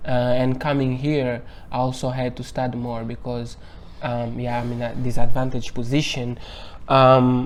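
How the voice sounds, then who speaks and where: In a Portuguese accent, a man speaks at medium pitch and a fairly slow pace with monotone, flat intonation, with audible room echo. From Angola. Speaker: university researcher. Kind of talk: interview.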